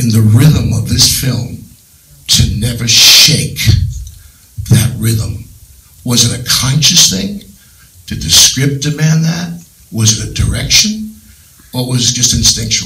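A man talks at a fairly slow pace with lively intonation and long, frequent pauses. Room echo is audible. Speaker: audience member asking questions. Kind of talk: audience question at Q&A. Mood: admiring, earnest. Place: hall.

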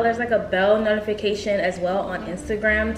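A woman's voice comes through audible room echo with clear music in the background. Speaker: beauty vlogger. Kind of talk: casual vlog chat. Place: home room.

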